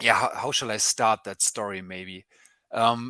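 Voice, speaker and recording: Speaking at a fairly slow pace with a German accent, the voice has a bright, sharp tone. The sound is dry and close with no echo, on a very clean recording with a silent background. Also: man. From Germany. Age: 30s. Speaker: journalist. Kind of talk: interview. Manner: halting, many fillers.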